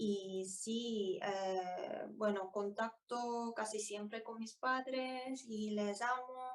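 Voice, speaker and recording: A woman with a Korean accent speaks at a fairly high pitch. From South Korea, Daegu. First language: Korean (speaking Spanish). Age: 20s. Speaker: language learner and student. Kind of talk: interview. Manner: halting, many fillers and repetitions.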